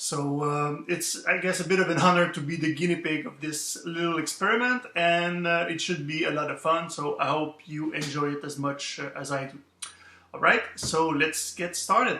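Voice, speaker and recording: A man with a fairly high pitch speaks at a moderate pace, his intonation fairly even. There is noticeable background noise. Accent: French Canadian. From Quebec. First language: French. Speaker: author. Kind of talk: interview answers. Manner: hesitant, many fillers.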